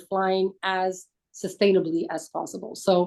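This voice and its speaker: A woman with a French accent and a dark, mellow tone. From France. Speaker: business aviation industry executive. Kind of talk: webinar panel discussion.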